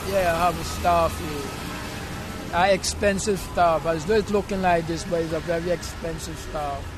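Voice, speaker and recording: Music plays behind a speaker with a Vincentian accent who talks at a fairly slow pace with hardly any pauses. The intonation is monotone and flat. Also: man, high pitch for a man. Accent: Vincentian Caribbean. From Saint Vincent, West Indies. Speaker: homeless man. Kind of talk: street interview. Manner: halting.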